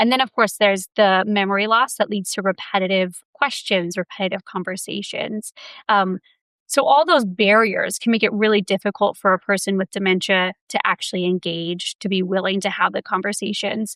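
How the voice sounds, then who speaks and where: A woman with an ordinary speaking voice, at a moderate pace and fairly even intonation, in a very clean recording with a silent background and a dry, close sound with no echo. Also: medium pitch for a woman. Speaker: communication professor. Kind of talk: interview.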